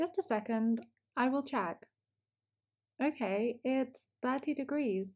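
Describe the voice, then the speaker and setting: A woman speaks at a high pitch and very slow pace, with lively intonation, very even loudness, and long, frequent pauses. The recording is very clean, with a silent background. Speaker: English teacher. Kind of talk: language lesson shadowing dialogue. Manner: slow, clear.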